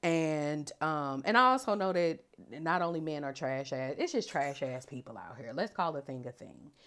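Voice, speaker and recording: This woman's pitch is very deep and low, her intonation lively, and her loudness swings widely. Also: moderate pace. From US Midwest, St. Louis. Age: 30s. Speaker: podcast host. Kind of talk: casual monologue.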